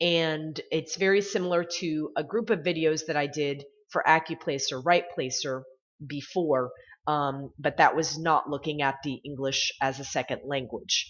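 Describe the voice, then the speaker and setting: Her voice sits very deep and low for a woman, with ordinary pitch variation. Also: moderate pace. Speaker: writing tutor. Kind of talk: tutorial. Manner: hesitant, many fillers.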